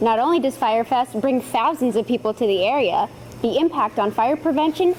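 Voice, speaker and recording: A woman speaks in a high voice with lively intonation. Her loudness stays very even over noticeable background noise. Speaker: TV news reporter. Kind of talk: TV news feature voice-over.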